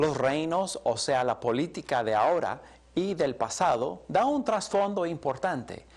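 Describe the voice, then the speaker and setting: A man with a fairly high voice speaks fairly slowly with very wide pitch swings on a very clean recording with a silent background. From Colombia, English-speaking home. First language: English (speaking Spanish). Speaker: Bible teacher. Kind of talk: lecture.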